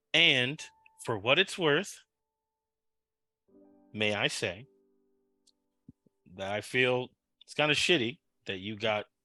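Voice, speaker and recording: A man does a raspy, put-on character voice at a moderate pace, with faint music in the background. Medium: actual play. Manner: dry, sardonic.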